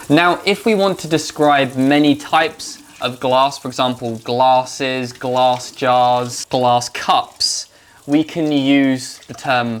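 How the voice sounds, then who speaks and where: Against noticeable background noise, a man with a British accent and a fairly high pitch talks at a very slow pace. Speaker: English teacher. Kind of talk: educational vlog narration to camera. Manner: slow, clear.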